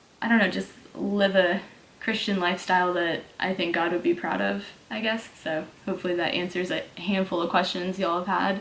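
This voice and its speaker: A woman with a slight Southern US accent, fairly quick in pace and fairly even in intonation. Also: medium pitch for a woman. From Texas. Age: 20s. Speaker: fitness YouTuber and online coach. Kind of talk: casual Q&A vlog. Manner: casual, filler-heavy.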